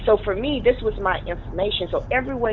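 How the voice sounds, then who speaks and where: Over noticeable background noise, a woman speaks at a very fast pace in a passionate, animated tone. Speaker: business coach and network marketer. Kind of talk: interview.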